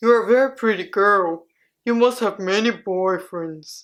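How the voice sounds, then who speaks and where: Using a put-on character voice, a woman speaks at a medium pitch and moderate pace on a very clean recording with a silent background. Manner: creepy.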